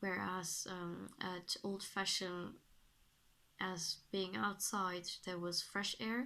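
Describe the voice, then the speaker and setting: With a German accent, a woman speaks in a bright, sharp tone. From Germany. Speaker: vlogger. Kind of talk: casual vlog monologue. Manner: halting, many fillers.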